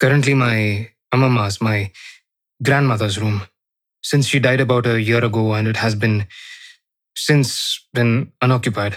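In an Indian accent, a man at medium pitch speaks at a moderate pace with long, frequent pauses, fairly even intonation and very even loudness. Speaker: horror storyteller. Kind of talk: first-person ghost story narration, reading a journal aloud in a young woman's voice. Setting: studio. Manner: hushed, suspenseful storytelling with hesitant 'uh' pauses; voices female characters.

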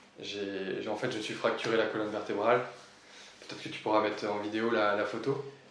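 Against noticeable background noise and audible room echo, a man speaks fairly quickly at a fairly low pitch, his intonation flat and monotone. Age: 20s. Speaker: paraplegic former motocross athlete. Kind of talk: interview. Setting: office.

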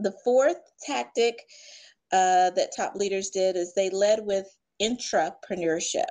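A woman's unremarkable speaking voice in an American accent, medium-pitched with ordinary pitch variation, at a fairly slow pace. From US South. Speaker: leadership expert. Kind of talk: interview.

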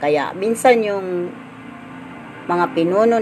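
Noticeable background noise under a fairly low-pitched female voice. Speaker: devotional leader. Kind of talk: daily devotion. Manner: halting.

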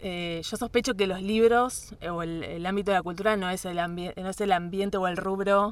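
A woman's medium-pitched voice with a Rioplatense accent, fairly quick pace and fairly even intonation, on a very clean recording with a silent background. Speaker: radio announcer and journalist. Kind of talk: interview conversation. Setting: studio.

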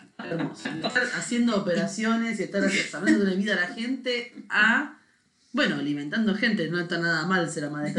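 Audible room echo, a moderate pace, and ordinary pitch variation. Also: woman. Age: 40s. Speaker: podcast co-host. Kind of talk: casual chat.

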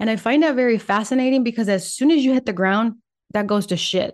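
Over a quiet background, a woman with a Spanish accent talks at a fairly quick pace, with a fairly high pitch and fairly even intonation. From Puerto Rico, raised in Michigan from age nine. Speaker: podcast host. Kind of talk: solo monologue podcast. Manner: casual with pauses and laughs.

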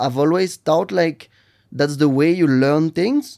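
Here a man speaks with a French accent. His pitch is high. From northern France, Lille. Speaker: restaurant entrepreneur. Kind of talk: interview. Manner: halting.

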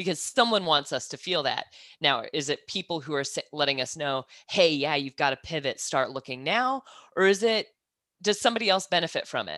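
With an American accent, the speaker moves at a fairly quick pace with very wide pitch swings and a bright, sharp tone, in a very clean recording with a silent background and a dry, close sound with no echo. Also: woman, fairly low pitch for a woman. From US Midwest, Kansas. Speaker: audiologist. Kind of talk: casual interview chat.

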